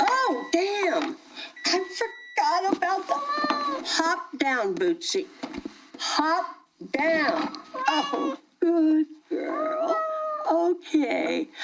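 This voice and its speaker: A woman puts on a character voice at an extremely high pitch, with lively intonation and very even loudness. She speaks at a very slow pace with long, frequent pauses. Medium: audio drama. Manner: chatty, rambling, laughs often.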